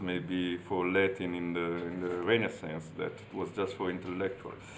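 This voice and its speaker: Speaking with an Italian accent, a man with a very deep, low voice keeps a fairly even intonation amid audible room echo. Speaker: university professor. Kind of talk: lecture. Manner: halting.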